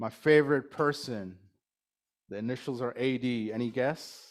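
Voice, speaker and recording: With a Californian accent, a man speaks at a moderate pace and fairly even intonation on a very clean recording with a silent background. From Bay Area, California. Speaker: club president. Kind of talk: speech to a club meeting. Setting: lunch meeting in a room with audience.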